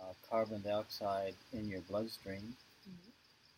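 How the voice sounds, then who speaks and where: His voice sits at a fairly low pitch and sounds somewhat breathy. The man keeps a fairly even intonation at a fairly slow pace. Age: 70s. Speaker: yoga teacher. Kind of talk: interview answer.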